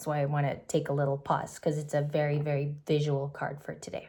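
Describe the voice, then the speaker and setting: A woman speaks in a very deep, low pitch with a dark, mellow, somewhat breathy tone and monotone, flat intonation. The recording is very clean with a silent background. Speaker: tarot reader. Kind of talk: tarot reading. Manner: fast.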